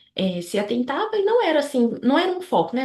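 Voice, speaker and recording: Her tone comes across dark and mellow. She talks neither fast nor slow. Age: 20s. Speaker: medical student. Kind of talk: interview. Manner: hesitant, many fillers.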